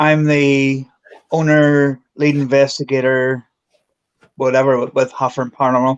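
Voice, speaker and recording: In a Belfast accent, a man talks at a fairly slow pace with a fairly high pitch. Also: dry, close sound with no echo. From Northern Ireland, Belfast. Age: 40s. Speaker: paranormal investigator. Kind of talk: casual chat.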